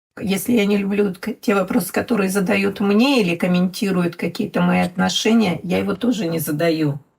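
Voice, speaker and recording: A woman talks at a moderate pace and medium pitch, somewhat breathy, with ordinary pitch variation and hardly any pauses. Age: 60s. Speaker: mother of an LGBT child. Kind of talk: podcast conversation.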